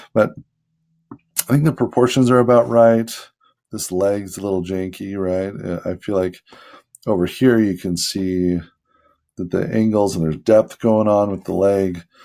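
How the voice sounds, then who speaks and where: Long, frequent pauses break up this man's speech at a moderate pace. His voice is fairly low and dark and mellow in tone, with ordinary pitch variation. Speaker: amateur artist vlogger. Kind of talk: casual drawing commentary. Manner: hesitant, many fillers.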